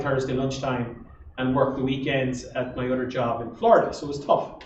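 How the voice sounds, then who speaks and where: A man with an Irish Midlands accent talks at a moderate pace, with audible room echo and noticeable background noise. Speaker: entrepreneur. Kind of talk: interview on stage.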